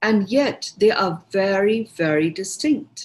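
Speaking at a very slow pace, a woman with an Indian accent sounds somewhat breathy, her medium-pitched voice lively in intonation. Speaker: meditation teacher. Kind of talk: guided talk. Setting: online group session.

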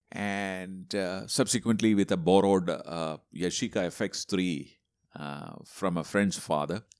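A man with a very deep, low voice talks at a fairly slow pace, captured in a very clean recording with a silent background. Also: ordinary pitch variation. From Kerala, India (Tripunithura near Kochi). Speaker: photographer and photography educator. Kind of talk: casual interview.

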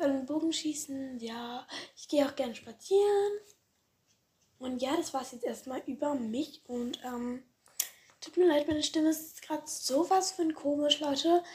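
A woman speaks in a high pitch at a moderate pace, with ordinary pitch variation. Her loudness swings widely. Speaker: podcast host. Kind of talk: casual monologue. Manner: hesitant, many fillers.

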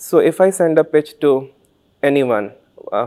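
Dry and close with no echo, a man speaks with an Indian accent. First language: Santali. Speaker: author and doctor. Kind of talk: interview. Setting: literature festival.

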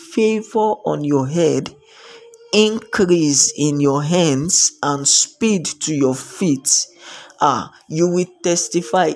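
A man with a Nigerian accent, high-pitched and very slow. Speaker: preacher. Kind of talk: devotional sermon. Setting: live stream.

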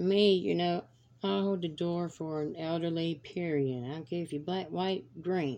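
With a Southern US accent, a woman talks. She keeps to a fairly slow pace. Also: ordinary pitch variation. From US South, North Carolina (Fayetteville). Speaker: podcast host. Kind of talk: solo monologue, casual rant. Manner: animated.

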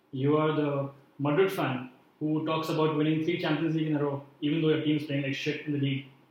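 Someone talks at a very fast pace in a monotone, flat way, with noticeable background noise behind them. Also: man, fairly high pitch for a man. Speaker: football coach. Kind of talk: casual chat.

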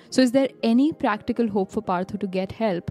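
A woman talks at a very fast pace with ordinary pitch variation. The sound is dry and close with no echo, and music plays in the background. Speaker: podcast co-host. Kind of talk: casual chat. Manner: enthusiastic.

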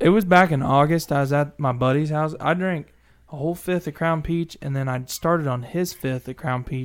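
With an American accent and an ordinary speaking voice, a man talks at a moderate pace, his fairly high pitch held in fairly even intonation. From Missouri. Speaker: truck driver and social media creator. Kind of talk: casual chat.

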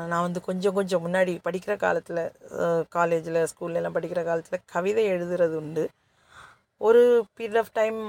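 A woman with a plain, everyday voice speaks at a fairly low pitch with fairly even intonation, in a dry, close sound with no echo. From Kanyakumari district, Tamil Nadu–Kerala border. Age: 40s. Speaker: podcaster and story writer. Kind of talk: casual monologue. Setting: government office waiting area.

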